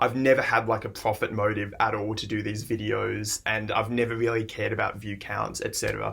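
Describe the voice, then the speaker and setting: A man speaks fairly quickly with an Australian accent. Vocal fry runs through his voice. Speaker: music reaction YouTuber. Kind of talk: casual vlog monologue.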